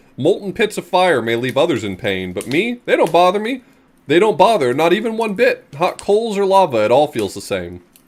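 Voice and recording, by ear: In a put-on character voice, a man speaks at a fairly quick pace with a high pitch.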